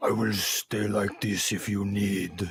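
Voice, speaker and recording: A man growls in a put-on character voice, pitched fairly low. He talks at a fairly slow pace. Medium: actual play.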